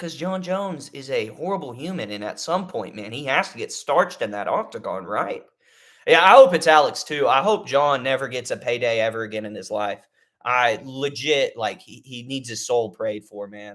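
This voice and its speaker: A man in a Texan accent speaks at a moderate pace and medium pitch, with lively intonation and big jumps in loudness. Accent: Texan American. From Texas. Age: 20s. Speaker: MMA YouTuber. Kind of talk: casual livestream commentary. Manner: animated; halting.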